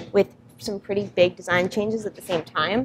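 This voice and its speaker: Noticeable background noise runs beneath the woman as she speaks at a moderate pace. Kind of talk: interview answer. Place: workshop.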